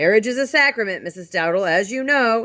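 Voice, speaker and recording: A female-sounding put-on character voice, fairly high in pitch, at a fairly quick pace. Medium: read story. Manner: calm, dignified.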